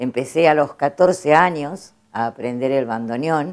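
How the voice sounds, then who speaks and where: A woman speaks very slowly at a very deep, low pitch, with lively intonation. The recording is very clean, with a silent background. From Argentina, Trenque Lauquen. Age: 70s. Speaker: bandoneon player. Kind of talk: interview.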